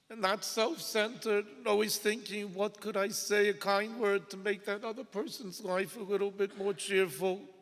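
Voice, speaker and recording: Over noticeable background noise, a man with a high pitch speaks with fairly even intonation and hardly any pauses. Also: moderate pace. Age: 50s. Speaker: son of the deceased rabbi giving a eulogy. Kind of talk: eulogy. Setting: synagogue funeral.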